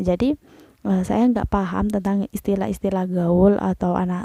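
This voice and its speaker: A woman at medium pitch speaks at a moderate pace in a dark, mellow tone, on a very clean recording with a silent background and a dry, close sound with no echo. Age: 20s. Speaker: vlogger. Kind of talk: casual explainer monologue. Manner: hesitant, many fillers.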